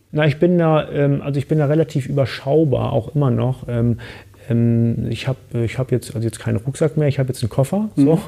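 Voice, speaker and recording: The voice has a dark, mellow tone and is somewhat breathy, moving at a fairly quick pace with ordinary pitch variation. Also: man, medium pitch for a man. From Hamburg, northern Germany. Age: 40s. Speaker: business coach and mountaineer. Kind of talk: casual interview. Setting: studio in Frankfurt.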